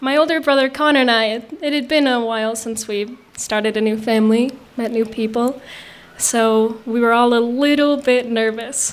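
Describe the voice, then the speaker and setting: This woman has an ordinary speaking voice, fairly high in pitch, with fairly even intonation. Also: moderate pace. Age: young. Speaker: storyteller. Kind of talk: storytelling on stage. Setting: outdoor stage with audience.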